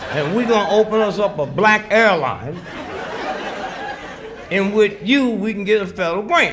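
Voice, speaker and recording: With noticeable background noise behind him, a high-pitched man speaks with ordinary pitch variation and long, frequent pauses. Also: moderate pace. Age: 80s+. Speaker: comedian and civil rights activist. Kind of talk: stand-up comedy speech to a live crowd. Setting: outdoors.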